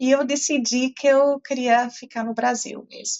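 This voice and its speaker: With a slight non-native accent, a woman speaks at a fairly slow pace in a high-pitched voice. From Portugal (German family). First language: German (speaking Portuguese). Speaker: professor. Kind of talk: interview. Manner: hesitant, many fillers.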